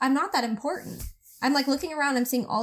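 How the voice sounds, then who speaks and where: In an animated tone, a woman speaks with ordinary pitch variation. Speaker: podcast co-host. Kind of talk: casual chat.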